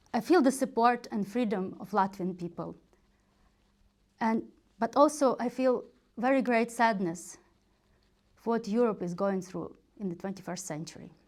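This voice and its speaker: A woman speaks at a moderate pace with fairly high pitch, ordinary pitch variation and long, frequent pauses. Her loudness swings widely, and the recording is very clean with a silent background. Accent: Ukrainian. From western Ukraine, Ivano-Frankivsk. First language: Ukrainian. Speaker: political candidate. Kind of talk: campaign speech. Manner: formal.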